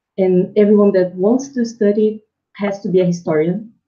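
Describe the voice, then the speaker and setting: Somewhat breathy, a woman with a Brazilian Portuguese accent speaks at a moderate pace with fairly even intonation. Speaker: PhD student, historian. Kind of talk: interview self-introduction.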